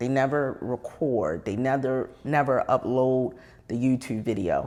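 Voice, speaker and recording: Her pitch very deep and low, a woman with an American accent speaks at a fairly slow pace. Her tone is dark and mellow. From Maryland, US. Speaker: podcast co-host. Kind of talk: casual chat.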